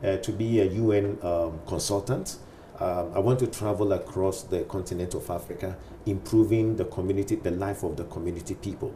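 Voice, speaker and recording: A man's fairly quick, fairly even-toned delivery over noticeable background noise. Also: fairly low pitch for a man. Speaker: pastor. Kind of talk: interview.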